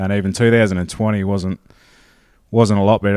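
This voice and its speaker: A dark, mellow tone in an Australian accent, at a moderate pace, with monotone, flat intonation. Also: man, very clean recording, silent background. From South Australia, mid north. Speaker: sheep farmer. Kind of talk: interview. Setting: shearing shed.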